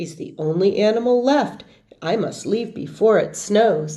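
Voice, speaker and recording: A woman uses a put-on character voice that is raspy and medium-pitched, with lively intonation. She speaks at a moderate pace, and there is audible echo. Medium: read story.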